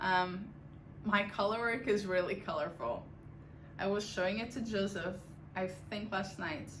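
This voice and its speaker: A woman with a non-native accent speaks at a moderate pace and medium pitch, using ordinary pitch variation. Her speech has long, frequent pauses, and there is audible room echo. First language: not English. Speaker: knitting podcaster. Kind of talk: casual chat. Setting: home attic.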